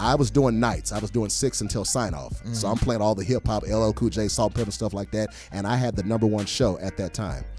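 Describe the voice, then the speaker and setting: A man's fairly low voice at a very fast pace, with hardly any pauses and ordinary pitch variation, over music in the background. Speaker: professional comedian, entertainer and former radio DJ. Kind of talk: casual interview answer about his radio career. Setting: recorded in a studio interview.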